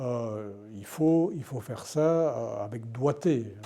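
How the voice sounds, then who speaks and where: The speaker is a man with a dark, mellow tone. He shows ordinary pitch variation. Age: 70s. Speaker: retired journalist. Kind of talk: interview. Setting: indoor venue, mill. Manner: halting, many repetitions.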